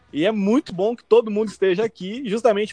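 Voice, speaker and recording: Here a man speaks at a fairly quick pace. His tone is dark and mellow, and the sound is dry and close with no echo. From Brazil. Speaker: podcast host. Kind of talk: casual chat. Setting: remote call, four people in three countries. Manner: animated.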